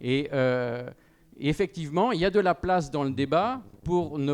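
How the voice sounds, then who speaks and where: Ordinary pitch variation marks the delivery. The speaker is a man. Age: 60s. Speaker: panel speaker at a farmers' union debate. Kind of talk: panel discussion. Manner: hesitant, many fillers.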